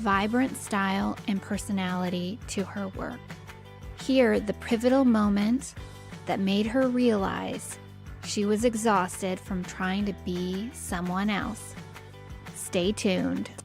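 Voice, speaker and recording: Music plays in the background while a woman speaks. Her pace is very slow. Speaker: podcast host. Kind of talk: show intro.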